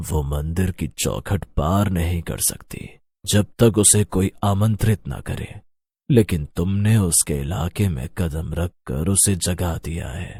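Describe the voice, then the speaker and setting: Using a put-on character voice, a man speaks fairly slowly in a very deep, low pitch with ordinary pitch variation. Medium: audio drama.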